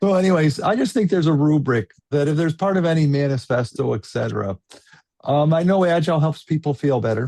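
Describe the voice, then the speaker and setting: Talking at a very fast pace, a man with a fairly high pitch and a dark, mellow tone uses lively intonation. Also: very even loudness, dry, close sound with no echo. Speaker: panel moderator. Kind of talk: panel discussion. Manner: animated.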